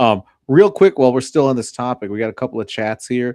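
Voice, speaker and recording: Fairly quick in pace, a man of medium pitch speaks in a dry, close sound with no echo. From adopted from a developing country, raised in US from age five. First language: non-English native language. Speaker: podcast co-host. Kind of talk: casual chat.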